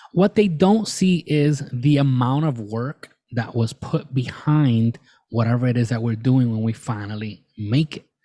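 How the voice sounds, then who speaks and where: A man talks with a dark, mellow tone at medium pitch. His pace is fairly slow, his intonation lively, and he hardly pauses. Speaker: podcast host. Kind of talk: solo podcast monologue. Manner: halting, repeats words.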